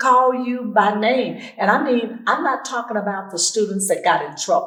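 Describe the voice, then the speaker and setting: A woman with an Arkansas accent, fairly slow in pace, amid audible room echo. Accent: Southern US (Arkansas). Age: 80s. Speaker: school alumni association member. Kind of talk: interview.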